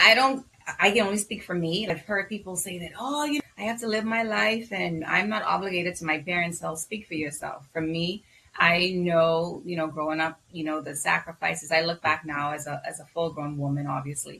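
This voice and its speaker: Noticeable background noise accompanies a woman with a Bahamian accent speaking at a fairly low pitch, a fairly quick pace and lively intonation. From Bahamas. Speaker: physician. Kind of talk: interview.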